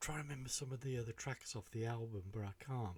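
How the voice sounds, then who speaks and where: Speaking with a British accent, the man goes at a very fast pace. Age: 60s. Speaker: music reaction youtuber. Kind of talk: casual reaction commentary. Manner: hesitant, many fillers.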